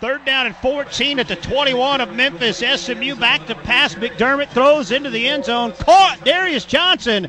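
Raising and projecting his voice, a man talks at an extremely high pitch with lively intonation, a fairly slow pace and hardly any pauses, against noticeable background noise. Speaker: sports commentator. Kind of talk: live sports commentary, game highlights.

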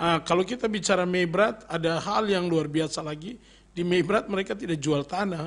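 This man's voice is high in pitch, with ordinary pitch variation and a moderate pace. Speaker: pastor. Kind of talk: radio interview. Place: studio. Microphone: studio mic.

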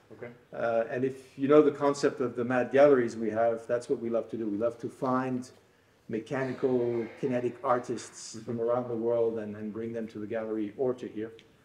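Monotone, flat intonation from a man at a fairly quick pace, with audible room echo and light background noise. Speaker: host giving a tour. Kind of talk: guided tour explanation. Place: hall.

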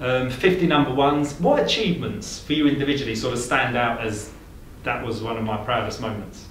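A man with a medium-pitched voice talks at a fairly quick pace, with ordinary pitch variation. Room echo is audible, along with light background noise. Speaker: interviewer. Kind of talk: interview. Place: home room.

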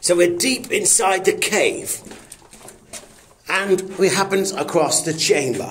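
Amid light background noise, a man with a high pitch talks at a very slow pace with ordinary pitch variation. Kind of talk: casual vlog commentary. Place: tunnel cave. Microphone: phone near.

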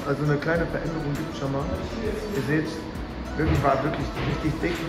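A man's voice over loud music in the background. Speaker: vlogger. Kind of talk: casual vlog chat. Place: gym.

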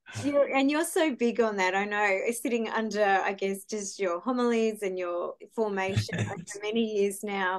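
A woman with a normal speaking voice talks at a moderate pace in a medium pitch, showing ordinary pitch variation. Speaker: podcast host. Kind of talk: interview question.

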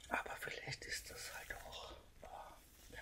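Over noticeable background noise, a woman is whispering at a very slow pace. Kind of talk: casual talk to camera about her health. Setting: audio only, microphone recording. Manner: whispered, soft-spoken.

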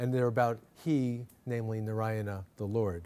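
Medium in pitch, this man's voice has a dark, mellow tone and ordinary pitch variation. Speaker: Jesuit priest and professor of comparative theology. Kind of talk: lecture. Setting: lecture hall with audience. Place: hall. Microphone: podium.

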